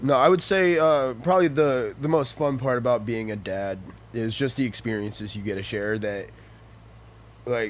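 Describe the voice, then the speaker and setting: Lively intonation marks a man's plain, everyday voice, medium in pitch and at a moderate pace. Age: late 20s. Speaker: guest sharing life story, former prisoner and father. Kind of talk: casual interview.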